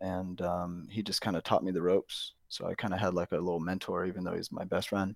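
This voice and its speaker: A man with an American accent talks at a very fast pace with hardly any pauses, his pitch very deep and low and his intonation monotone and flat. The recording is very clean, with a silent background and a dry, close sound with no echo. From US Midwest, St. Louis. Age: 30s. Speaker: day trader. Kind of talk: casual interview. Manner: many fillers and repetitions.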